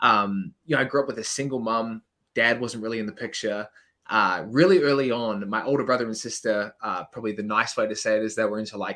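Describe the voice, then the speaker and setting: In a New Zealand accent, a man talks at a very fast pace with a medium pitch and ordinary pitch variation. His tone is bright and sharp. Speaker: business coach. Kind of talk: podcast interview. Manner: hesitant, many fillers.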